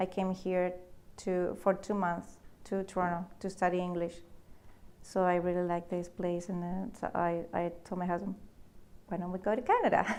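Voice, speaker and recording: A woman with a Spanish accent at a medium pitch and a moderate pace, monotone and flat, with long, frequent pauses. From Peru, Lima. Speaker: immigrant business owner. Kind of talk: interview. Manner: halting, with repetitions.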